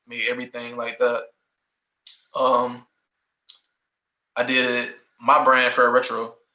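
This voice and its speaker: A man with a Southern accent speaks at a fairly slow pace, with long, frequent pauses. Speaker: former college athlete and clothing brand owner. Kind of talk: casual interview. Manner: halting, many fillers.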